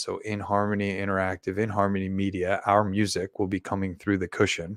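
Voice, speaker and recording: In a very clean recording with a silent background, a man speaks in a monotone, flat intonation at a fairly low pitch, his sound dry and close with no echo. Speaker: meditation guide and livestream host. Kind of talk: live stream announcement. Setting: live stream. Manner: soft and subdued, relaxing. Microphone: microphone held very close to mouth.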